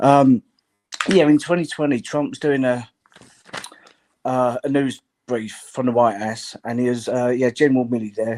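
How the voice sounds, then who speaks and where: The speech has a moderate pace with long, frequent pauses. The sound is dry and close, with no echo. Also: man. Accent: British. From London. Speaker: podcast host and radio caller. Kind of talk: phone-in call. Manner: hesitant, many fillers.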